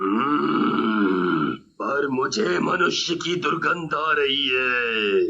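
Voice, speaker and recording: Using a put-on character voice, a man speaks at a very slow pace in a fairly high pitch. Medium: read story. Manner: growling, gloating.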